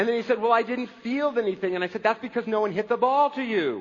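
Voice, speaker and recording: A man's extremely high-pitched voice with ordinary pitch variation at a fairly quick pace. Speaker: pastor. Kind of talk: sermon. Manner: fast.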